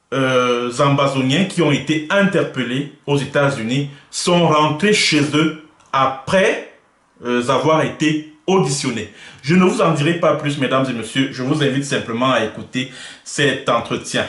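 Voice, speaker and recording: Fairly slow delivery from a man with a fairly high voice, ordinary pitch movement, and room echo that can be heard. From Cameroon. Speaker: web journalist, interviewer. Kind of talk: interview. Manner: hesitant, many filler sounds.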